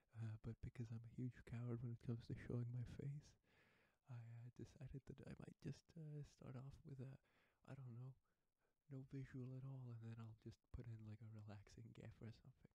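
A soft-spoken, somewhat breathy voice with a dark, mellow tone speaks in a monotone, flat way at a moderate pace. The sound is dry with no echo, over a quiet background. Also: man, medium pitch for a man. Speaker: ASMR creator. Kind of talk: soft spoken ASMR intro. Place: home room.

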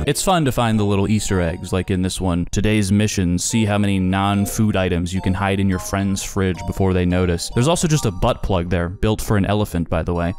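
A man's fairly low, upbeat voice, fairly quick with hardly any pauses and very even loudness, over music in the background. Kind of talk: casual commentary narration. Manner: casual, upbeat.

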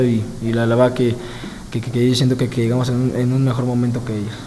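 Very fast and in a monotone, flat intonation, a man of medium pitch speaks over light background noise. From Mexico. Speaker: footballer. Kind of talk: press conference. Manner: halting, many fillers and repetitions. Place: meeting room. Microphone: handheld.

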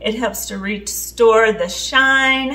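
A woman's voice at a very slow pace with fairly even intonation. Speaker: home cleaning vlogger. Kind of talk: tutorial. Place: kitchen. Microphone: camera far.

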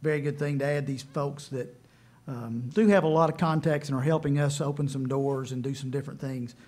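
The pace is fairly quick. The speaker is a man. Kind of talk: public meeting presentation. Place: meeting room. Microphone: podium.

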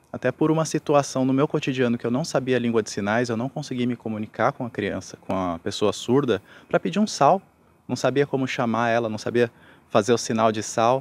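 This man talks at a fairly quick pace with ordinary pitch variation. The sound is dry with no echo. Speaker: interviewee. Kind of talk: interview answer. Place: garden. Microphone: handheld.

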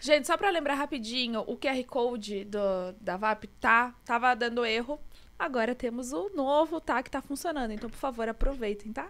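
This woman's voice sits high in pitch, moving with lively intonation at a moderate pace. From Brazil. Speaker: podcast host. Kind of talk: casual chat. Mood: cheerful, casual. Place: studio. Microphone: studio mic.

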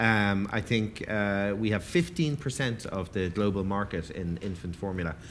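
A man with an Irish accent talks fairly slowly at a fairly low pitch, with ordinary pitch variation and light background noise. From Ireland. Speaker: event moderator and food writer; event moderator. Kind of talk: panel discussion. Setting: stage with audience. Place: hall. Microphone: headset.

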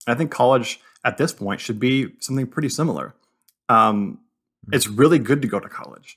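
A man talks at a fairly quick pace with a medium pitch. His voice has vocal fry and ordinary pitch variation. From Southern California. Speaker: podcast co-host. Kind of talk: casual chat.

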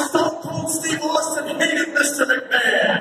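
Speech comes at a very slow pace amid loud background noise and audible room echo. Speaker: ring announcer. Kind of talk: wrestling ring announcement. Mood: mocking, playful insults. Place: hall.

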